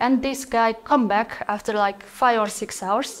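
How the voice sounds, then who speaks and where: A woman speaks with a Mongolian accent at a fairly high pitch. Her delivery is fairly slow and in a flat monotone. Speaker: PhD student researcher. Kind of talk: conference talk.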